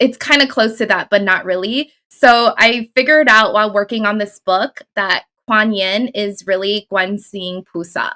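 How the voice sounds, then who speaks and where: Here a woman talks at a moderate pace with hardly any pauses and ordinary pitch variation. Her fairly high voice has a bright, sharp tone and a dry, close sound with no echo. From Taiwan, moved to US as a child. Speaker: author and spiritual teacher. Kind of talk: casual interview chat.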